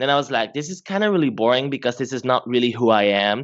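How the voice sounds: A man speaks fast at a medium pitch. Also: ordinary pitch variation.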